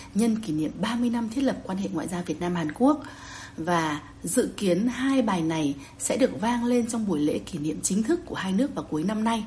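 The speaker talks at a fairly slow pace with lively intonation. Noticeable background noise runs underneath. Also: woman. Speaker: journalist. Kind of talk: news report. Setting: remote connection.

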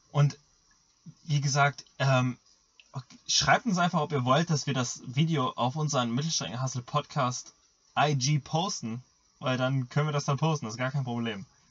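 A man's somewhat breathy, fairly high-pitched voice at a moderate pace, with ordinary pitch variation and long, frequent pauses. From Germany. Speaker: podcast co-host and middle-distance runner. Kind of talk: casual chat.

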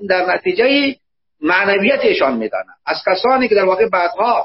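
Lively intonation and a fairly quick pace from a man. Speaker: university professor and book translator. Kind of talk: discussion of a book.

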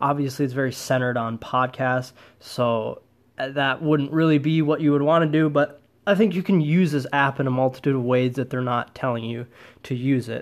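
A plain, everyday voice with an American accent. It moves at a fairly quick pace with fairly even intonation. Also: man, fairly high pitch for a man. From US Midwest, Wisconsin. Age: 20s. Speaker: podcast host. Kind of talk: solo podcast monologue.

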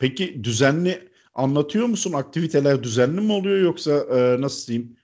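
A man speaks at a fairly high pitch and a moderate pace, his voice making very wide pitch swings. He hardly pauses, and the background is quiet. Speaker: podcast host. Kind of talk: casual chat. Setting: remote call.

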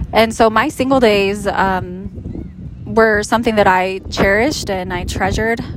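A woman at medium pitch and a moderate pace, fairly even in intonation, with noticeable background noise. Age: 40s. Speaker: relationship coach. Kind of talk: casual chat. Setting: outdoors on a beach.

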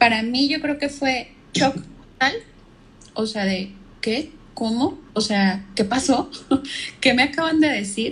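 Pausing long and often, a woman speaks very slowly at a high pitch with lively intonation. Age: 30s. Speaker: marketing professional, cancer survivor. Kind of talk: casual interview chat. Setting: Instagram live video call.

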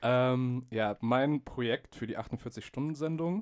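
A man is heard in a dry, close sound with no echo. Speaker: podcast host, media art student. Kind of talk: casual chat.

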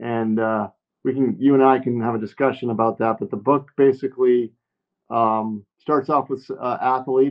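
Fairly even intonation marks this man's medium-pitched voice at a moderate pace. He has an ordinary speaking voice. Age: 50s. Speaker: author and former Wall Street analyst. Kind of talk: interview.

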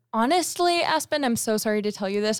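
Delivered at a very fast pace with an American accent, the speech has an animated tone and very wide pitch swings. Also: woman. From Las Vegas, US. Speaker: college student. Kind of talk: casual chat.

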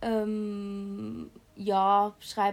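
This is a woman speaking. Her pitch is medium. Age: young. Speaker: university student, youth group member. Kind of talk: casual chat.

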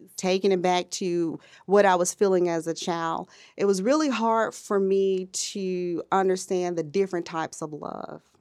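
A plain, everyday voice, a woman with an American accent, medium pitch, ordinary pitch variation and a moderate pace, on a very clean recording with a silent background. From US South, Birmingham, Alabama. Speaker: IT professional and mother. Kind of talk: interview, casual chat.

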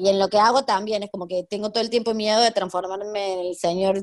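Speaking in a plain, everyday voice, a woman keeps a medium pitch with ordinary pitch variation. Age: 30s. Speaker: history teacher and researcher. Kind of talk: interview conversation.

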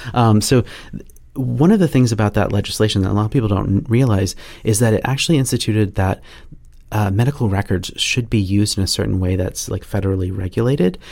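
Speaking very fast in a fairly low pitch, a man with an American accent is heard on a very clean recording with a silent background. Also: ordinary pitch variation. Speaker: penetration testing manager. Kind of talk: podcast interview. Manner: halting, many fillers and restarts.

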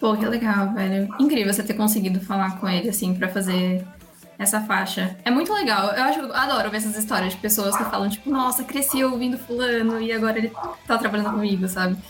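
A woman speaks at a fairly quick pace with a fairly high pitch, ordinary pitch variation and very even loudness. Music plays in the background and audible room echo is present. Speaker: podcast host. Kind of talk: casual interview.

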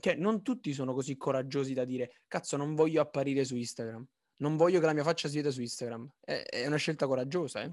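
Against a quiet background, a man talks at a very fast pace with a fairly high pitch. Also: ordinary pitch variation. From Naples. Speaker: podcast co-host, design student. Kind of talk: casual chat.

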